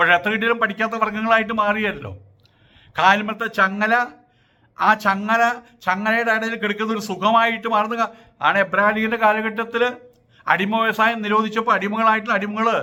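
A man projects a raised voice with a high pitch, a bright, sharp tone and monotone, flat intonation. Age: 70s. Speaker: social commentator. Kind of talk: opinion monologue.

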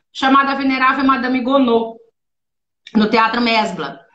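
A woman with a high pitch speaks at a moderate pace, with audible room echo and light background noise. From Brazil, born in São Paulo, long in Rio. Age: 50s. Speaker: actress and voice actress; actress, voice actress. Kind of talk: casual live-stream interview. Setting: video call. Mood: warm, animated storytelling. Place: home room.

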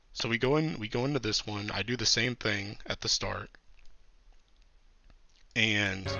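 Ordinary pitch variation marks this fairly slow delivery, full of long, frequent pauses. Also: man, medium pitch for a man. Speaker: game content creator. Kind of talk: casual gameplay commentary. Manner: quieter than usual, late-night.

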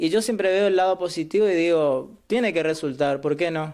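A man's voice, high in pitch, comes through over a quiet background. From Argentina, Misiones (Ituzaingó); Misiones, Argentina. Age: 20s. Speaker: law student. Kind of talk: interview. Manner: halting. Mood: positive, earnest. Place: home room. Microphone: webcam.

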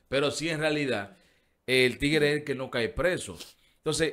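A man is heard against a quiet background. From Dominican Republic, Herrera; Dominican Republic. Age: 40s. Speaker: radio show host. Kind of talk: casual chat. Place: studio. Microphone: studio mic.

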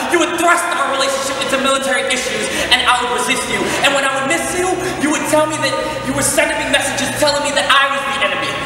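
A man talks at a very fast pace in an extremely high pitch with monotone, flat intonation, amid noticeable background noise and strong room echo. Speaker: spoken word artist. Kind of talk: spoken word poem. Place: stage.

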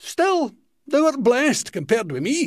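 Man with a Scottish accent and very wide pitch swings. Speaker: comedian. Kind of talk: poetry reading.

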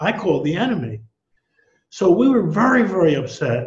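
A man keeps a moderate pace while the background stays quiet. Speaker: economics professor guest. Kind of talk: interview answer. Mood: reflective, somewhat indignant. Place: home room. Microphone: headset.

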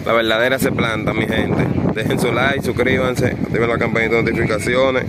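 A man talking at a very fast pace with very even loudness, dry sound with no echo, and loud background noise. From Dominican Republic. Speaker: kite-flying video creator. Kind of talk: live commentary. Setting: outdoors. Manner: animated.

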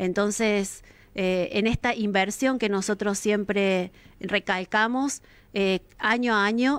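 A woman with an ordinary speaking voice, fairly high in pitch, with fairly even intonation. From Argentina, Villa Carlos Paz, Córdoba; Córdoba, Argentina. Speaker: local council president. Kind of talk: interview. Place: studio. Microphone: studio mic.

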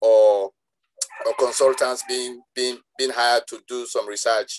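A man speaks at a fairly slow pace in a monotone with flat intonation. Light background noise sits behind him. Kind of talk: interview answer. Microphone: video call.

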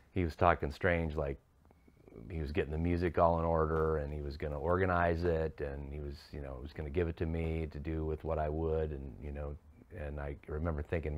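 A man with a very deep, low pitch and monotone, flat intonation at a fairly quick pace. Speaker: interviewee. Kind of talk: interview answer. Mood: reflective, somber. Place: studio.

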